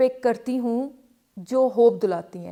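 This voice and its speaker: A woman's high-pitched voice. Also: very clean recording, silent background. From Karachi, Pakistan. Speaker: calligraphy artist. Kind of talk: interview answer.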